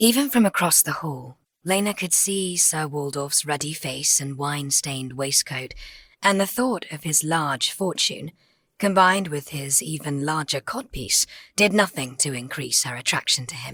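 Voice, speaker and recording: In a British RP accent, a woman with a very deep, low pitch talks at a moderate pace, her intonation lively and her loudness swinging widely. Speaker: voice actor. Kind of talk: audiobook narration.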